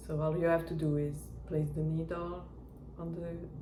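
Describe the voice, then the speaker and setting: Someone with a non-native accent speaks at a very slow pace over noticeable background noise. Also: woman. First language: not English. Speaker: knitting reviewer. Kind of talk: product review talk to camera. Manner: hesitant.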